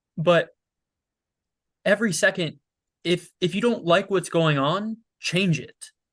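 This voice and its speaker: A loud man with a high pitch, fairly slow pace, ordinary pitch variation and long, frequent pauses. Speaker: podcast guest. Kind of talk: casual interview.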